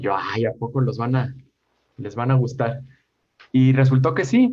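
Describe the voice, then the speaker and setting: This man talks at a fairly slow pace with a medium pitch and fairly even intonation. His tone is dark and mellow, and somewhat breathy. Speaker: educational YouTube creator. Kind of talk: interview conversation.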